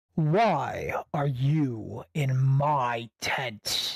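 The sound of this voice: Using a put-on character voice, a man speaks with a raspy, fairly high pitch.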